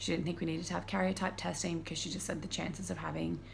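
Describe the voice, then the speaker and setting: A woman speaks at a very fast pace. Audible room echo surrounds her voice. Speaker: vlogger. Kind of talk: personal video diary. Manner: casual, filler-heavy; quiet.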